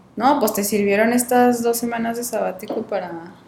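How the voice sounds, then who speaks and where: Background noise can be clearly heard. Over it, a woman talks. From Mexico, Coahuila. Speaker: podcast host. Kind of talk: casual chat.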